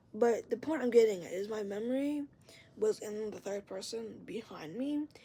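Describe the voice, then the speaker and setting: Her tone is dark and mellow. This woman's pitch is fairly high, with ordinary pitch variation. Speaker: vlogger sharing mental health experience. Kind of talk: casual vlog monologue. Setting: at home, bedroom door open. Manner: loud; rambling, halting.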